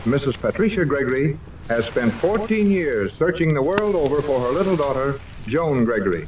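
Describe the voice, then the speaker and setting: Amid noticeable background noise, a man with a fairly high pitch speaks at a fairly quick pace, his voice making very wide pitch swings. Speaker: radio announcer. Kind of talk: old time radio serial narration.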